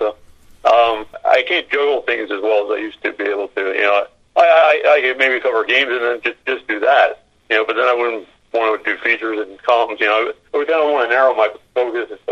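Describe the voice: A man speaks fast at medium pitch, with a fairly bright tone and ordinary pitch variation.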